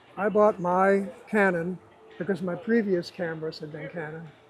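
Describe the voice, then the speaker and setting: High in pitch, a man speaks with fairly even intonation. Noticeable background noise runs underneath. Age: 70s. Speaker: retired copy editor and photographer. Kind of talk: interview.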